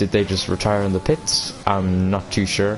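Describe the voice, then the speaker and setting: A man with a very deep, low pitch amid noticeable background noise. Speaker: esports race commentator. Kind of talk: live commentary. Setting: live stream. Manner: flat, not showing excitement.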